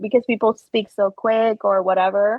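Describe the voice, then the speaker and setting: Speaking in a Spanish accent, a woman keeps a moderate pace. Her pitch is fairly high. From Puerto Rico. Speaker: podcast guest, military veteran. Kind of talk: casual interview chat.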